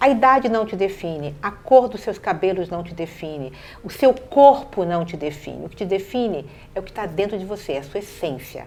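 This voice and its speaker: At a moderate pace, a woman with a medium pitch talks with very wide pitch swings and big swings in loudness. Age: 60s. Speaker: city councillor. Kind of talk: interview.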